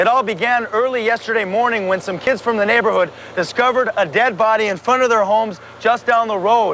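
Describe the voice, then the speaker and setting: A man talks at a very fast pace in an energetic tone, his pitch high for a man, with noticeable background noise. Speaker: bilingual TV news reporter and anchor. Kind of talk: TV news reporter delivery, demo reel. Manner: energetic, polished broadcast delivery.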